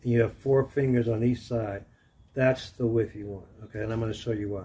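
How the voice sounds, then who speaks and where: A man talks at a fairly quick pace, somewhat breathy, with big swings in loudness. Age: 70s. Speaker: martial arts instructor. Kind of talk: tutorial. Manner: halting.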